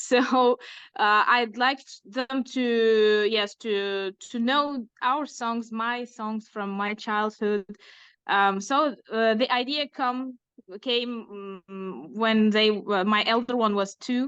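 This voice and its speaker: A woman with an Uzbek accent speaks at a very slow pace. Her pitch is fairly high, and the background is quiet. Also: fairly even intonation. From Uzbekistan. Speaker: illustrator and author. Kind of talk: interview. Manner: halting, many fillers.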